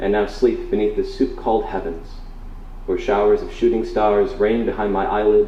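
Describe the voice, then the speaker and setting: A man is speaking over noticeable background noise. Audible room echo surrounds his voice. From Wisconsin, Oshkosh. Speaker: spoken word poet. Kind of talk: poetry reading. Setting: bookstore stage with audience. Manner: loud; halting between poems, fluent while reading.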